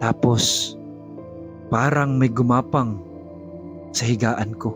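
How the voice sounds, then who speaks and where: Music plays behind a man speaking at medium pitch. He talks at a very slow pace. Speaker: voice actor. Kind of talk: horror confession narration. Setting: home studio.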